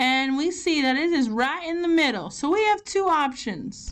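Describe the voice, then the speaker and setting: A woman talks with a Southern US accent. Her pace is fairly slow. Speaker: elementary school teacher. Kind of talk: online math lesson for children. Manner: casual, encouraging.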